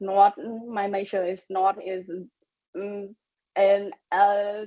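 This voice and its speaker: A woman at a medium pitch, speaking at a very slow pace with monotone, flat intonation. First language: not English. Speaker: webinar presenter, student. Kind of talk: webinar Q&A. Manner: halting, many repetitions.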